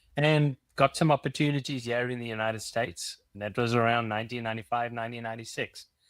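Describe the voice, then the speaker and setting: A man with a South African accent talks at a very fast pace with hardly any pauses, his medium-pitched voice showing fairly even intonation but big swings in loudness. The sound is dry and close with no echo, on a very clean recording against a silent background. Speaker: company CEO. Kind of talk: interview.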